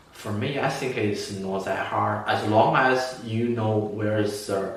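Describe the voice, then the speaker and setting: With audible room echo and noticeable background noise, a man at medium pitch speaks very slowly with fairly even intonation. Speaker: student sharing exam tips. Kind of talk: tutorial. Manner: halting.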